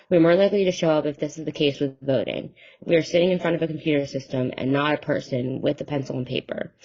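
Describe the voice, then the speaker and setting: A woman with an American accent and a very deep, low pitch speaks very fast with fairly even intonation. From New Jersey. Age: 20s. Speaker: college student playing a testifying voter. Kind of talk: mock congressional testimony, prepared statement. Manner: formal.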